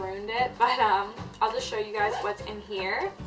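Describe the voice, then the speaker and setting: Clear music can be heard in the background. Over it, a woman speaks at a moderate pace. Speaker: beauty vlogger. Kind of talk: casual vlog chat. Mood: light, cheerful. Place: home room. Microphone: camera far.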